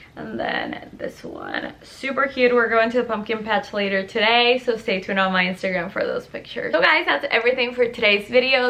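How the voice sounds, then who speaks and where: A woman with a Puerto Rican accent speaks at a high pitch and a moderate pace. Her pitch varies in an ordinary way over noticeable background noise. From Puerto Rico. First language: Spanish. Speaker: lifestyle YouTuber. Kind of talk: product review vlog. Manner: casual, chatty.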